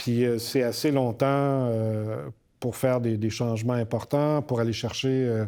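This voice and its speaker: A man speaks at a fairly slow pace in a medium pitch, his dark, mellow tone carried by fairly even intonation on a very clean recording with a silent background. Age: 60s. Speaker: university rector. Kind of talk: podcast interview. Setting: recording in Montreal. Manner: hesitant, many fillers.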